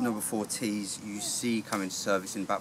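A man with a fairly low pitch speaks over noticeable background noise. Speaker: historical reenactor. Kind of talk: informal talk explaining equipment. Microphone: camera far.

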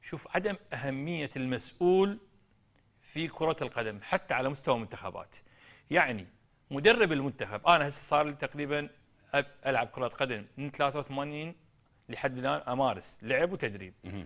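This man has a fairly high pitch and lively intonation. He speaks at a fairly slow pace against a quiet background. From Iraq. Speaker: football coach and former player; football coach. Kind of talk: TV interview. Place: studio.

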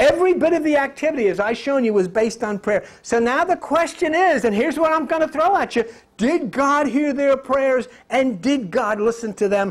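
At a moderate pace and with hardly any pauses, a man talks at a high pitch against a quiet background. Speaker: lecturer and conspiracy commentator. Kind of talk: angry rant and lecture on conspiracy theories, with a preachy, sermonizing edge. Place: classroom.

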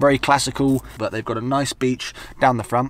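Over light background noise, a man talks at a fairly quick pace in dry sound with no echo. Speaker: travel vlogger. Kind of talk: casual vlog chat. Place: car.

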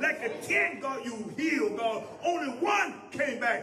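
Over noticeable background noise, a man talks fairly slowly in an extremely high pitch. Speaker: man leading congregational prayer. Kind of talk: prayer. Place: church. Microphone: handheld.

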